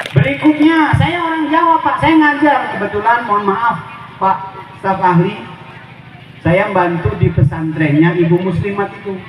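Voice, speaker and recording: High male voice at a moderate pace with very wide pitch swings, plus noticeable background noise and audible room echo. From Lampung, Javanese family. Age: 40s. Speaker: Islamic preacher. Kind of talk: sermon. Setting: community religious gathering with audience.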